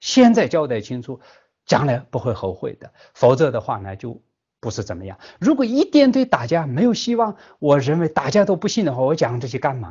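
A man with a Tibetan accent at a fairly quick pace, fairly high-pitched and somewhat breathy, with very wide pitch swings and big swings in loudness. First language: Tibetan (speaking Chinese). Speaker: Buddhist teacher. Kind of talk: dharma lecture. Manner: halting, many filler sounds.

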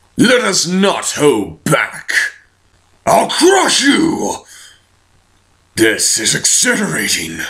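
Using a put-on character voice, a man speaks raspy and high-pitched in a menacing tone, very slowly, with long, frequent pauses. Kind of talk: villain voice acting. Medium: fan dub. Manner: commanding, menacing.

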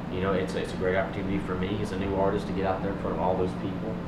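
Loud background noise runs through the clip. Over it, a man speaks at a very fast pace. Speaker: guest. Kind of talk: interview answer. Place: home room. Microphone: handheld.

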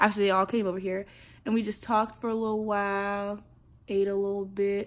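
A woman with an American accent talks at a fairly quick pace in a medium pitch, her intonation flat and monotone. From South Carolina. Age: young. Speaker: college freshman. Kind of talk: casual vlog talk to camera. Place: home room. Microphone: phone near.

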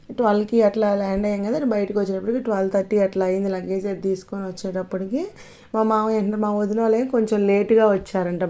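This woman's dark, mellow tone comes with monotone, flat intonation. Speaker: vlogger. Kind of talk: casual vlog narration.

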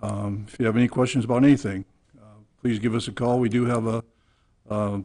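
A dark, mellow tone at a fairly quick pace, with fairly even intonation. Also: man, quiet background. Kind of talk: public meeting address. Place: meeting room. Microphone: podium.

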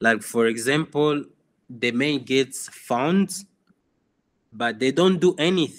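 At a very slow pace, a man with a Congolese accent speaks at medium pitch. His intonation is lively, broken by long, frequent pauses. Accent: Congolese francophone English. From DR Congo (Goma). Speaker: photographer. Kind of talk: interview. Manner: halting.

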